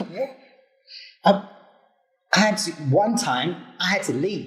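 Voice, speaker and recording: A man speaks at a moderate pace with a high pitch and lively intonation. Music plays in the background. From Zimbabwe. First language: Shona. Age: young. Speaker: interviewee, immigrant. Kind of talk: casual interview.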